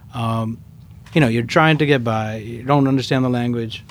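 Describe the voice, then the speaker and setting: A man talks in a plain, everyday voice at a medium pitch, with fairly even intonation. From Queens, New York (born in India). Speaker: sneaker store owner. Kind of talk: casual interview.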